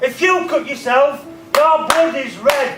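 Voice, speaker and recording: Noticeable background noise and audible room echo surround a man who speaks very slowly at an extremely high pitch with ordinary pitch variation. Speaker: motivational speaker. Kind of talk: motivational talk to students. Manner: animated.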